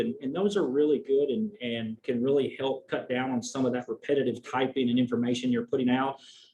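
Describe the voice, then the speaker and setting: Very fast speech in a Southern US accent, ordinary pitch variation, and noticeable background noise. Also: man. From US South. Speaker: veterinary oncologist. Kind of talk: presentation.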